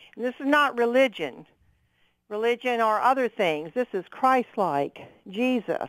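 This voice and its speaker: Using a normal speaking voice, the speaker talks at a fairly slow pace with lively intonation. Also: woman, fairly high pitch for a woman. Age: 60s. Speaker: caller, retired nurse. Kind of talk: radio call-in.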